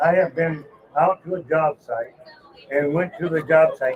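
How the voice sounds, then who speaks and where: Amid noticeable background noise, a man with a fairly high pitch speaks at a moderate pace with fairly even intonation. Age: 60s. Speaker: mobile home transport trucker. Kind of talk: casual interview. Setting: trade show.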